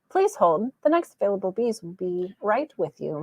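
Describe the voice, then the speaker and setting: At a moderate pace, a female-sounding voice of medium pitch for a woman performs a put-on character voice. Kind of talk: polite, formal on-hold script.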